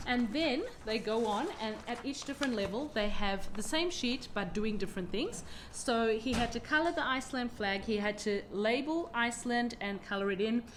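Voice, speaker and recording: A woman with an Australian accent speaks in a warm, enthusiastic tone at a fairly high pitch with ordinary pitch variation, amid audible room echo and noticeable background noise. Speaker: homeschooling mother and channel host. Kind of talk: casual vlog chat. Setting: at home with children around. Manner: fast.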